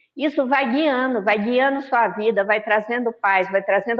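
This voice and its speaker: A woman's fairly high-pitched, fairly slow delivery in a normal speaking voice, with ordinary pitch variation. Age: 60s. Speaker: spiritist lecturer. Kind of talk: religious talk. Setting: online video meeting. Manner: conversational.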